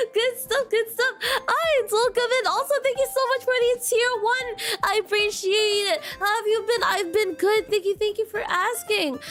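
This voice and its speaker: An extremely high-pitched woman's voice with lively intonation, very even loudness and hardly any pauses, over noticeable background noise. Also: moderate pace. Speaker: vtuber streamer. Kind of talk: casual chat. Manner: animated.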